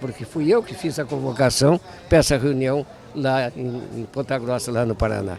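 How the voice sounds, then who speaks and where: The voice shows ordinary pitch variation. Noticeable background noise is present. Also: man, medium pitch for a man, moderate pace. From southern Brazil, Rio Grande do Sul countryside (Caçapava/Bagé). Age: 80s+. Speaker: elder traditionalist leader, movement patron. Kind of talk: interview.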